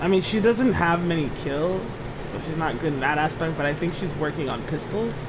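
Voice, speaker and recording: The speech runs at a fairly quick pace against noticeable background noise. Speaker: gaming streamer. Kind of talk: casual chat. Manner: quiet.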